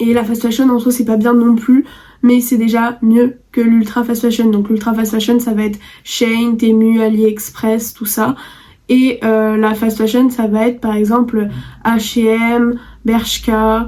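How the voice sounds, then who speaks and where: This woman talks at a very slow pace in a fairly high voice, her intonation flat and monotone. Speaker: youtuber. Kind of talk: vlog monologue.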